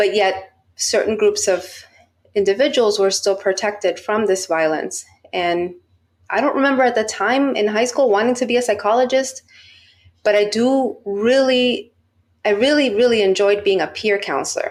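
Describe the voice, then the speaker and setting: This woman has an unremarkable speaking voice with an American accent, pitched fairly high with ordinary variation. Her pace is moderate and her loudness very even. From Miami, Florida (US). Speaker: research psychologist. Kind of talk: podcast interview.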